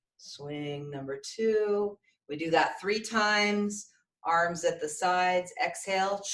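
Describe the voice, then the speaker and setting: A woman talks very slowly with ordinary pitch variation. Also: medium pitch for a woman. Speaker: breathwork and meditation teacher. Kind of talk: guided breathwork instruction. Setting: online video class.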